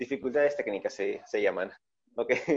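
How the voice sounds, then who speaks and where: A man is heard over a quiet background. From Peru. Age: 20s. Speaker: podcast co-host. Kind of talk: casual chat.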